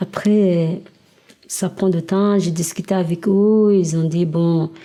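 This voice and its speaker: Her dark, mellow tone and fairly low pitch stay monotone and flat as the woman speaks at a very slow pace. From Nigeria. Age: 20s. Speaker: exiled migrant telling her story. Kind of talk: personal testimony interview. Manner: halting, many hesitations.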